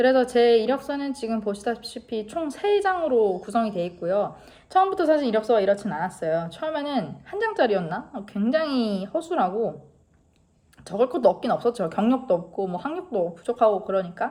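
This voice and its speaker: At a moderate pace, a woman talks with a fairly high pitch that swings very widely. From South Korea. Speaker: car mechanic and vlogger. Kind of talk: informal talk-to-camera advice vlog.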